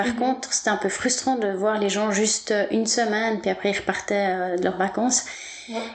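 A woman speaks at a moderate pace in a fairly high voice, with very even loudness and fairly even intonation over noticeable background noise. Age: 40s. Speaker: massage therapist. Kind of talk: interview.

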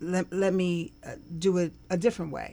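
The speaker uses a normal speaking voice at a moderate pace, with ordinary pitch variation. The recording is very clean with a silent background. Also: woman. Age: 50s. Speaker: social work professor. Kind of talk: interview.

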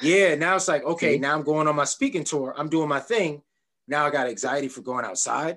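With an American accent, a man talks in an ordinary speaking voice. His pitch is fairly high, with ordinary pitch variation. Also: fairly quick pace. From Jamaica, Queens, New York. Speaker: podcast host. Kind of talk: interview conversation.

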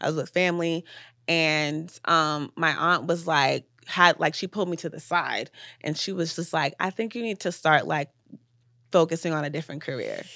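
With an American accent, a woman speaks at a fairly low pitch in a bright, sharp tone and fairly even intonation. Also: very clean recording, silent background. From Atlanta, US. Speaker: filmmaker and director. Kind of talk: casual chat interview.

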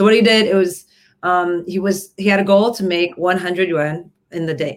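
With a Canadian accent and a plain, everyday voice, the speaker moves at a fairly quick pace. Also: woman. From Canada, Toronto area. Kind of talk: casual chat.

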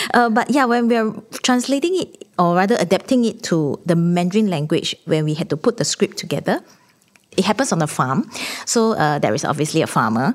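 The speaker talks at a fairly quick pace in a Singaporean accent. Their pitch swings very widely. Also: woman, medium pitch for a woman. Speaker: theatre artistic director. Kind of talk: panel discussion.

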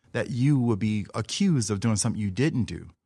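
A man with an ordinary speaking voice and an American accent speaks at a medium pitch and a moderate pace. His pitch variation is ordinary, and the recording is very clean with a silent background. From US South, New Orleans. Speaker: artist and educator. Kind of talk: casual interview.

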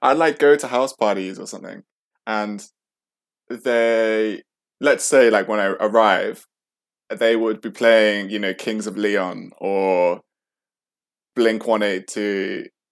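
A man at a very slow pace, with fairly even intonation and long, frequent pauses. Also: fairly low pitch for a man, big swings in loudness, very clean recording, silent background. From central England. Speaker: storyteller sharing life experience. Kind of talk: personal storytelling interview.

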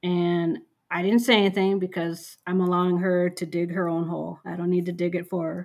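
A woman with an Upper Midwest accent speaks at a fairly quick pace in a fairly low, flat monotone, on a very clean recording with a silent background. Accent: Upper Midwest American. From rural western Minnesota. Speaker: medical social worker. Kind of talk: casual chat.

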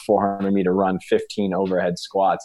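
Against a quiet background, a man talks at a fairly quick pace with a fairly low pitch and an unremarkable speaking voice. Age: 30s. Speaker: CrossFit coach and gym owner. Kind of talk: casual interview chat.

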